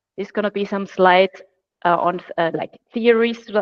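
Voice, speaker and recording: With an Austrian accent, a woman talks at a moderate pace in fairly even intonation. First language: German. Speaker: platform consultant. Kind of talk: webinar presentation. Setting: video call.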